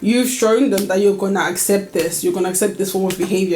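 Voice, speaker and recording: A woman speaks at a fairly quick pace with fairly even intonation. Music plays in the background. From United Kingdom. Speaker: lifestyle vlogger. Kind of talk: casual talk to camera.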